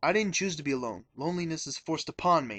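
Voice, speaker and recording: Over a quiet background, a man with a fairly high pitch talks at a fairly quick pace in an angry tone with lively intonation. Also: dry, close sound with no echo. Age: 20s. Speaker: video confessional speaker. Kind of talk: personal testimony. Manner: angry, ranting.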